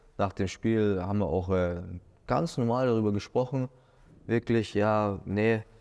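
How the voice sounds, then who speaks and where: With a fairly low pitch and ordinary pitch variation, a man talks at a very slow pace over a quiet background. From Germany, Munich; Germany. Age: 30s. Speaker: former professional footballer. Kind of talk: interview. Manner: hesitant with many fillers. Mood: relaxed, reflective. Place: studio. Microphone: lapel.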